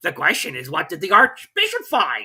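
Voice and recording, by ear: A woman puts on a character voice with a fairly low pitch and very wide pitch swings. Her tone is bright and sharp with a slightly husky edge, and her pace is moderate.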